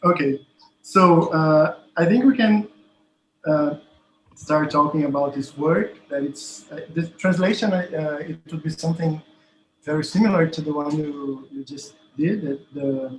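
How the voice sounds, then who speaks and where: The voice carries a Portuguese accent at a fairly slow pace. Loudness swings widely while pitch variation stays ordinary. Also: man, fairly high pitch for a man. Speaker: professor and researcher. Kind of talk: academic conversation. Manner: halting.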